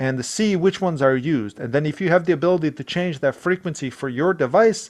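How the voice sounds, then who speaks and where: A man with a non-native accent, fairly quick and lively in intonation. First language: not English. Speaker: IT tech support worker. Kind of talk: tutorial; reading aloud. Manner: halting.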